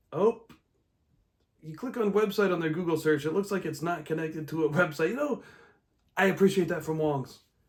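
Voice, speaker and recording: An American accent marks this man's speech, which has a high pitch, ordinary pitch variation, a fairly quick pace and long, frequent pauses. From Omaha, Nebraska, US Midwest. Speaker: comedian and podcast host. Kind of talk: casual chat. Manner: fast; rambling, halting with fillers.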